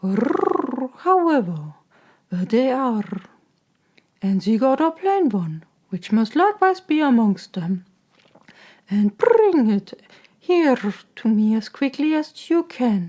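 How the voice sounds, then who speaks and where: A female-sounding voice does a put-on character voice, growling yet gentle in tone at a high pitch with very wide pitch swings. The pace is fairly slow, with long, frequent pauses. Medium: read story. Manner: gentle, guiding.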